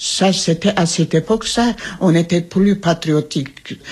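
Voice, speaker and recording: A woman's fairly low, somewhat breathy voice at a very slow pace. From Trabzon, Ottoman Turkey. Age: 80s+. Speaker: genocide survivor. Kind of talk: testimony. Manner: halting.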